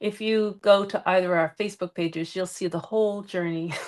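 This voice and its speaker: This woman's voice sits at a medium pitch, with fairly even intonation. Nothing else can be heard around her. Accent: American. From Boston area, Massachusetts. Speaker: crafting live-stream co-host. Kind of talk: casual craft tutorial livestream.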